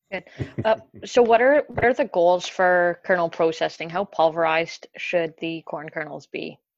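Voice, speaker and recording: A woman with a normal speaking voice and a Canadian accent talks at a moderate pace with lively intonation and a fairly low pitch, recorded dry and close with no echo over a quiet background. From Ontario, Canada. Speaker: dairy specialist. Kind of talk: podcast interview.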